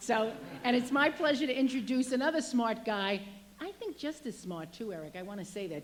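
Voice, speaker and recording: Her pitch swings very widely as a woman speaks at a fairly quick pace. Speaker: state legislator. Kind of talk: public speech. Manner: fast.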